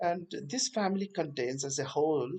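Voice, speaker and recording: A man talks with an Indian accent at a moderate pace. Vocal fry runs through his voice. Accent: Indian English (Telugu). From Telangana, India. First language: Telugu. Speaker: botany teacher. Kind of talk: lecture. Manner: hesitant, many fillers.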